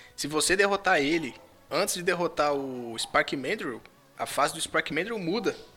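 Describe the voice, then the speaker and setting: Music plays in the background. A man speaks at a moderate pace with a high pitch. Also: ordinary pitch variation. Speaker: podcast host. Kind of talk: casual chat.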